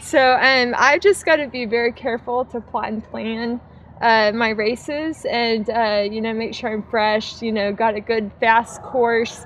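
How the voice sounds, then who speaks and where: A woman at a fairly high pitch and fairly slow pace, with fairly even intonation and light background noise. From United States. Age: 30s. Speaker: ultramarathon runner; interviewee. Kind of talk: post-race interview. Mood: relaxed, happy, laughing. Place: open country.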